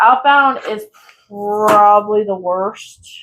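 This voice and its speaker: A woman talks at a very slow pace. Her pitch is fairly high. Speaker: crafting youtuber. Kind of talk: casual chat. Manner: gets loud when excited; soft-spoken.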